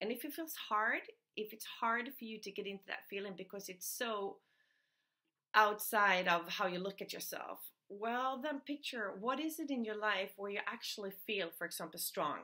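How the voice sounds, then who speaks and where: A woman with a non-native accent speaks at a fairly high pitch and moderate pace, her bright, sharp tone carrying ordinary pitch variation. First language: not English. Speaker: personal development coach. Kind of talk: video talk / tutorial.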